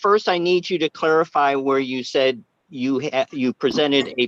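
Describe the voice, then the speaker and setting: With a Boston accent, a man speaks at a moderate pace in a fairly high pitch and lively intonation, recorded dry and close with no echo. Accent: Bostonian. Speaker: planning commissioner. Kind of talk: public meeting discussion. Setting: video or phone call. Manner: halting.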